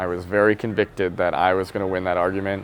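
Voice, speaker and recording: With an American accent, a man of fairly low pitch speaks at a very fast pace. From rural Wisconsin, US Midwest. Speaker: vegan nonprofit marketing director. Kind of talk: interview conversation. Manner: casual, filler-heavy.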